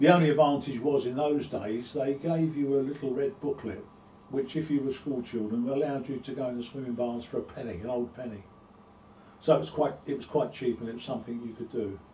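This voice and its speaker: A man with a London accent talks at a fairly quick pace and a medium pitch. His loudness swings widely while his pitch varies in an ordinary way. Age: 70s. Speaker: oral history interviewee. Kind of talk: oral history interview. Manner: halting.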